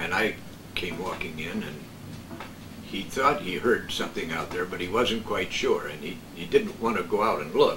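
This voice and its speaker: The voice keeps a moderate pace. Noticeable background noise is present. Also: man. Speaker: veteran radio broadcaster. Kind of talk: casual conversational reminiscence about radio days.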